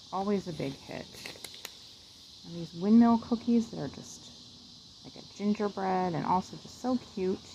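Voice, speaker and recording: A soft-spoken woman with an American accent and lively intonation, over noticeable background noise. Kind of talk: ASMR catalog page-through, soft-spoken casual talk to camera. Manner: soft-spoken, slow, relaxed.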